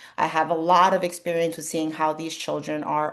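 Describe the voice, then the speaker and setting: Speaking with a Spanish accent, a woman keeps fairly even intonation at a fairly quick pace and a fairly low pitch. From New York City. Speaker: speech language pathologist. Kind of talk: workshop presentation.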